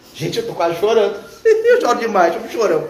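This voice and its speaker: A man's voice comes with noticeable background noise and audible room echo. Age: 40s. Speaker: evangelical preacher. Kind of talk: informal sermon on a live stream. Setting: live stream.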